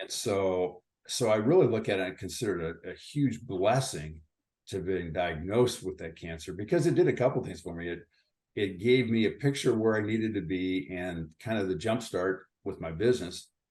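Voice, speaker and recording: In an American accent, a man with an unremarkable speaking voice talks at a moderate pace and a fairly low pitch with ordinary pitch variation. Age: 60s. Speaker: retired company founder. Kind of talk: interview.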